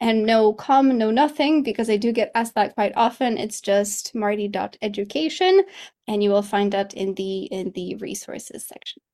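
With a Polish accent, a woman talks at a moderate pace in a fairly high pitch, her tone dark and mellow and her pitch variation ordinary. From Poland. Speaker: English teacher and coach. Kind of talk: interview.

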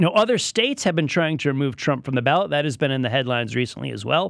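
A man with an American accent and an unremarkable speaking voice talks with fairly high pitch and lively intonation on a very clean recording with a silent background. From Connecticut, New England. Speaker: radio news host. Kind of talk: radio news talk show. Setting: radio studio.

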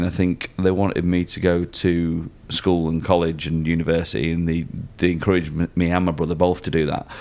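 This man has a Lancashire accent. His pitch is very deep and low. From Lancashire, northern England. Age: 30s. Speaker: magician. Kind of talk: casual chat. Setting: restaurant basement.

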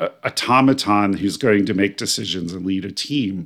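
In a very clean recording with a silent background, a man speaks with an American accent at a moderate pace. He has a fairly low pitch and a normal speaking voice. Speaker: spiritual life coach and podcast host. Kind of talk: solo podcast monologue.

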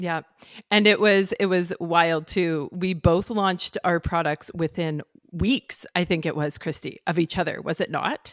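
A woman speaks in a plain, everyday voice at a fairly low pitch and a fairly slow pace, with fairly even intonation. The sound is dry and close with no echo, and the recording is very clean with a silent background. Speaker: podcast host and startup founder. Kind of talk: casual podcast conversation.

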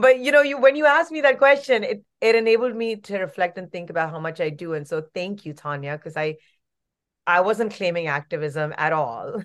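Fairly quick delivery with very wide pitch swings and big swings in loudness against a quiet background. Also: woman, medium pitch for a woman. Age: 40s. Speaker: actress and activist. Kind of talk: interview. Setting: remote interview.

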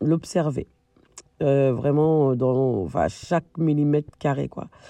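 A woman's dark, mellow tone at a very deep, low pitch, fairly slow pace and ordinary pitch variation, in a dry, close sound with no echo. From France, Malian family. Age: 40s. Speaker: dancer and stage director. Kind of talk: interview answers. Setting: remote recording. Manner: laughs often.

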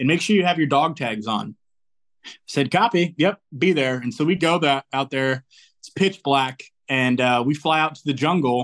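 This man has a normal speaking voice, fairly high in pitch, with ordinary pitch variation and a moderate pace. The background is quiet, and the sound is dry and close with no echo. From Indiana, US Midwest (born in New Zealand). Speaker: military recruiter. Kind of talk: interview.

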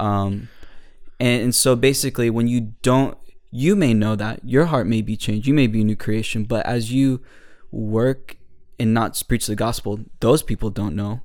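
An unremarkable speaking voice from a man with an American accent, medium pitch, fairly even intonation and moderate pace, on a very clean recording with a silent background. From New Jersey. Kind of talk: casual chat about faith.

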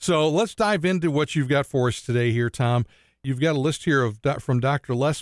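Ordinary pitch variation over plain reading aloud

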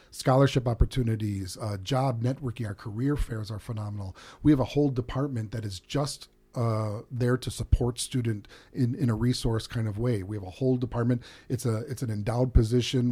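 A man with an American accent talks at a fairly quick pace in a medium-pitched, somewhat breathy voice with a dark, mellow tone. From US Midwest, Chicago south suburbs. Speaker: chef and hospitality professor. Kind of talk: interview. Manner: many fillers, hesitant.

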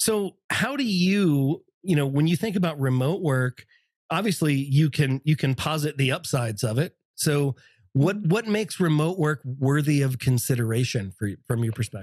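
A somewhat breathy man talks at a fairly high pitch and moderate pace, with lively intonation and very even loudness. The sound is dry and close, with no echo. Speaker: podcast host. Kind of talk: casual chat. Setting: video call. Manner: animated.

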